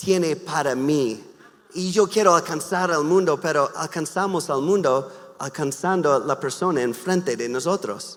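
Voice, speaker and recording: This man speaks at a very slow pace with a slight non-native accent. His pitch is high, with ordinary variation. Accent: slight foreign accent in Spanish. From US Midwest, Wisconsin. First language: English (speaking Spanish). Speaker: pastor and missionary. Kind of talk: sermon. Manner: halting, with many repeated words and fillers.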